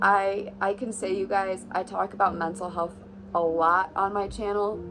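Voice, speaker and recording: Music plays in the background as a woman speaks. Her pitch is medium and her pace moderate. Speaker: vlogger. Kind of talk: casual vlog talk. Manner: hesitant with many fillers.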